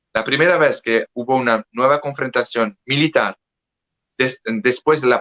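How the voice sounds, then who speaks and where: A man with a French accent, medium pitch and ordinary pitch variation, bright, sharp in tone, in a dry, close sound with no echo. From France. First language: French (speaking Spanish). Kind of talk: interview conversation. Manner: halting.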